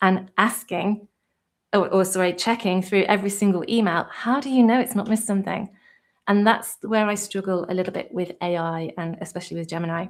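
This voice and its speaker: A woman with a British accent, moderate pace, fairly even intonation and a quiet background. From UK. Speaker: tutorial creator and virtual assistant; virtual assistant host. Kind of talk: live stream tutorial chat. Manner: hesitant, many fillers. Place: home room.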